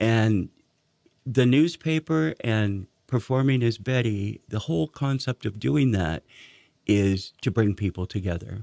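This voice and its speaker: Against a quiet background, a man talks fairly slowly in a dark, mellow, fairly low voice with lively intonation, the sound dry and close with no echo. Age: old. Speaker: drag performer and newspaper publisher. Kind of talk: radio interview.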